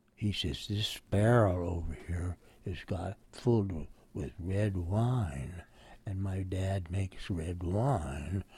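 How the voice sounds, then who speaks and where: A somewhat breathy voice with an American accent, very slow pace and ordinary pitch variation. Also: man, very deep, low pitch for a man. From Oakland, California. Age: 90s. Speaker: war veteran. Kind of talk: oral history interview, recalling WWII. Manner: elderly, conversational.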